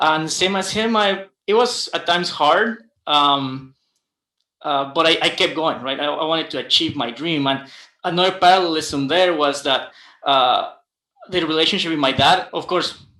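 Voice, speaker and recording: A man's fairly high voice with a Guatemalan accent, bright, sharp tone, moderate pace, and ordinary pitch variation. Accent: non-native, Guatemalan Spanish. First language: Spanish. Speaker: aerospace engineer. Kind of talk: panel discussion. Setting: livestream. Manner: halting, many fillers and repetitions.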